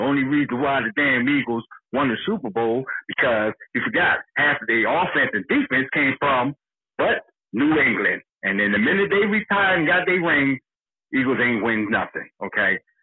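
A man with a fairly high pitch and an American accent talks at a moderate pace. He has an ordinary speaking voice with lively intonation. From Philadelphia. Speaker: caller. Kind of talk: casual chat. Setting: phone call.

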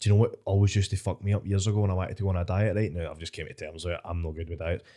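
A man with a Scottish accent speaks at a very fast pace in a very deep, low pitch, his tone dark and mellow and his intonation fairly even. The recording is very clean, with a silent background. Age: 20s. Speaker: stand-up comedian. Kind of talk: casual chat.

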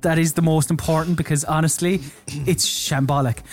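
At a fairly quick pace comes a normal speaking voice. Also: man. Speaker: podcast host. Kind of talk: casual chat.

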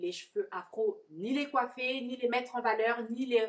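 This woman speaks with a high-pitched voice. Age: 30s. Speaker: podcast host and hairdresser. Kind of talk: interview. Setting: coworking space, on a sofa.

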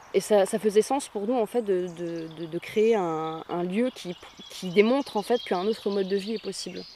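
Her speech is an ordinary speaking voice at medium pitch with ordinary pitch variation. The woman goes at a fairly slow pace. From northern France, Béthune area. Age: 20s. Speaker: eco-project co-founder, actress and musician. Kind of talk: interview.

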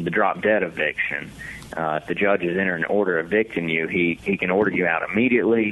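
A man's pitch varies in an ordinary way as noticeable background noise carries on behind him. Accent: Southern US. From Mississippi, Hattiesburg. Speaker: lawyer. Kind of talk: radio interview. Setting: remote connection.

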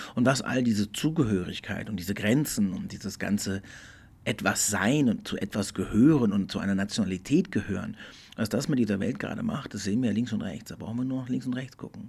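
A man talks at a fairly quick pace in an ordinary speaking voice. His pitch is fairly low with ordinary variation. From Portugal, German school. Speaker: podcast host. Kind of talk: solo reflective monologue. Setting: studio. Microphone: good studio equipment.

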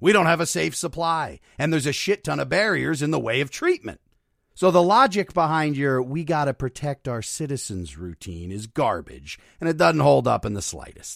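A man's fairly high, animated voice in an American accent, with very wide pitch swings at a moderate pace, dry and close with no echo, in a very clean recording over a silent background. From northeastern Pennsylvania, Luzerne County. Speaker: podcast host. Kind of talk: scripted narration with commentary.

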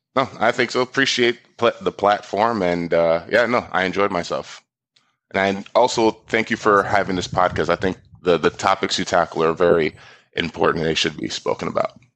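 This man has an American accent and a fairly low pitch, talking at a moderate pace with ordinary pitch variation. His is an unremarkable speaking voice. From South Florida. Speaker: financial planner. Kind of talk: casual interview.

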